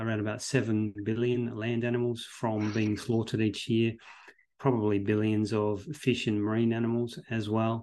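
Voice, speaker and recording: Speaking in an Australian accent, this man keeps a fairly slow pace. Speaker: veterinary professor and researcher. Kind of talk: interview.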